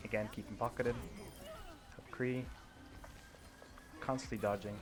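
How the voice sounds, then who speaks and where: Fairly low male voice, fairly even in intonation, against noticeable background noise. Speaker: gaming video creator. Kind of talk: gameplay review commentary. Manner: fast. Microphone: poor mic, too quiet.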